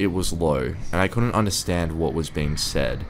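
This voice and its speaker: Over music in the background, a man speaks at a moderate pace with a very deep, low pitch. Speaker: narrator. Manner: quietly tense, confessional tone that turns urgent and breathless at the scary reveals.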